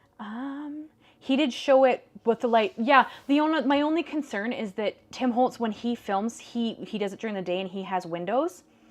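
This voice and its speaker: A woman with a western Canadian accent speaks at a moderate pace, with a fairly high pitch and lively intonation. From Canada, northern British Columbia. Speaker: paper crafting livestream host. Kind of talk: live crafting tutorial with chat. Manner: casual, chatty.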